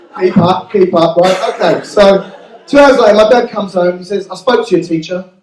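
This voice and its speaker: Ordinary pitch variation marks talking that moves fairly quickly. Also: man, high pitch for a man. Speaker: amateur stand-up comedian. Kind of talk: live stand-up comedy routine. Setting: live venue with audience.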